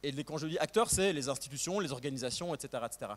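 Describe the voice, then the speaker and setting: A man's voice rises and falls with lively intonation. The recording is very clean and the background silent. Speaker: historian, postdoctoral researcher. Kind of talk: academic talk. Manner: fast; hesitant, many fillers.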